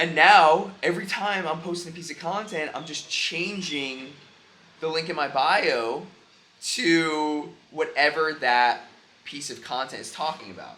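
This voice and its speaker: A man's voice amid noticeable background noise and audible room echo. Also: fairly high pitch for a man, ordinary pitch variation, fairly slow pace, big swings in loudness. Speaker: entrepreneur vlogger and coach. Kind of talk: vlog monologue. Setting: airport. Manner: casual, spontaneous; loud.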